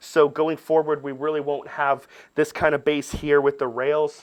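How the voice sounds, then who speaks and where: Against a quiet background, a man with an ordinary speaking voice and a fairly high pitch speaks at a fairly slow pace. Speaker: camera workshop instructor. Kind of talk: tutorial.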